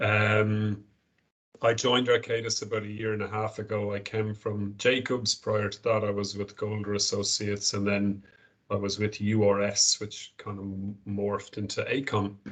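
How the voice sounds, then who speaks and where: A man delivers his words in a monotone, flat intonation, his pitch fairly low and his pace moderate. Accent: Irish. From Ireland, Galway. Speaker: company director. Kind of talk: corporate presentation on video call. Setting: video call from small meeting room.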